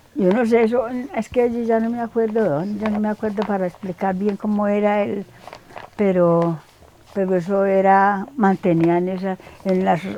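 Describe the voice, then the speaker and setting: The speech moves at a fairly slow pace with fairly even intonation over noticeable background noise. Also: woman, medium pitch for a woman. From Colombia, Antioquia (Támesis rural). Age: 80s+. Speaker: elderly villager interviewee. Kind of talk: interview. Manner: halting.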